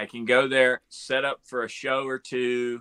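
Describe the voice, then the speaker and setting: A man with a Southern accent speaks at a fairly slow pace in a medium pitch. The tone is bright and sharp, and the sound is dry and close with no echo. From US South, North Florida. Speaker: professional wrestler. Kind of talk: casual chat.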